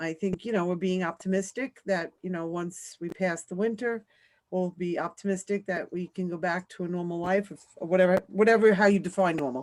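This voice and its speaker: Talking at a fairly quick pace, a woman with a New York accent uses a medium pitch and fairly even intonation. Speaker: school principal. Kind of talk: meeting report.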